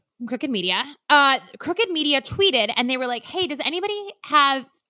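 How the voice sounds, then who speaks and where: A woman speaks in a raised, projected voice at a fairly quick pace, with an animated tone. Her bright, sharp voice sits high and swings very widely in pitch. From Alaska. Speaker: podcast co-host. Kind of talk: casual chat.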